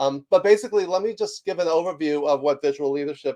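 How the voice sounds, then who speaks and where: The man's voice comes across dry and close, with no echo. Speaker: leadership author and executive coach. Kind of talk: webinar presentation. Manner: fast; many filler words.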